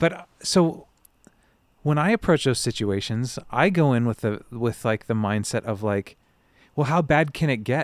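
The recording of this man is very clean, with a silent background. He has a normal speaking voice at a medium pitch, with lively intonation and a moderate pace. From US West Coast. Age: 30s. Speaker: podcast host. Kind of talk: casual chat. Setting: outdoors.

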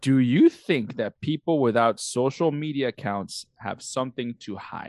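A man with an American accent at medium pitch, ordinary pitch variation, big swings in loudness and a fairly slow pace, in a dry, close sound with no echo. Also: hardly any pauses. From outside the US. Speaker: podcast co-host. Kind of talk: casual chat. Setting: recording at night, drinking.

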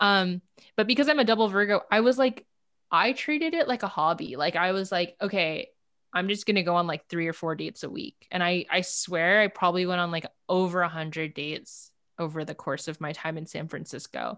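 A woman speaks with a Californian accent at medium pitch. Her intonation is lively and her pace fairly quick. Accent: Californian American English. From Los Angeles, South Bay (Palos Verdes). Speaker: dating app founder and CEO. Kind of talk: casual interview chat.

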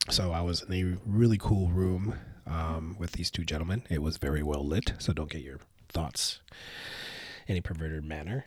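At a moderate pace, a man with a very deep, low pitch and ordinary pitch variation sounds somewhat breathy in a very clean recording with a silent background. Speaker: whiskey brand ambassador and podcast co-host. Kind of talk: casual chat.

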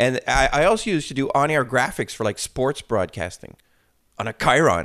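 A man's medium-pitched voice with vocal fry, a moderate pace and very wide pitch swings, on a very clean recording with a silent background. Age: 40s. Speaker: flame artist and VFX supervisor. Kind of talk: casual interview chat. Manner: halting with many repetitions.

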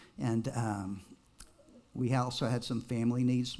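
A man with an American accent speaks at a fairly slow pace in a medium pitch and a monotone, flat intonation, with audible room echo around him. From Texas. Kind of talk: personal testimony to a congregation.

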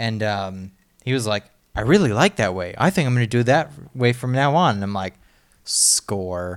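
Heard in a very clean recording with a silent background, a man with an ordinary speaking voice talks at a moderate pace and medium pitch with lively intonation. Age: 20s. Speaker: podcast co-host. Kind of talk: casual chat.

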